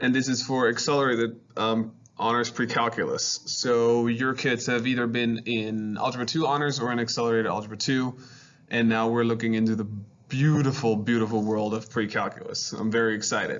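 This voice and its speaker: A fairly quick, monotone delivery in a German accent, with flat intonation and very even loudness. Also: man, medium pitch for a man. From Germany, Hanover. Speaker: high school math teacher. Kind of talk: virtual open house presentation.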